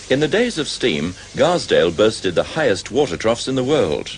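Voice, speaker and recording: Speech at a moderate pace against noticeable background noise. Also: man. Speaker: documentary narrator. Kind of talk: documentary narration.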